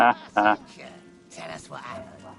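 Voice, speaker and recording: Over background music, a man does a put-on character voice at a fairly quick pace. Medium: video game. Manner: cold, insistent.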